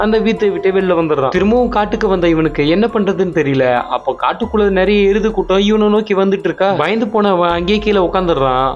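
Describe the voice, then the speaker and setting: Over music in the background, a man speaks at a high pitch with ordinary pitch variation and very even loudness. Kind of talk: movie recap narration.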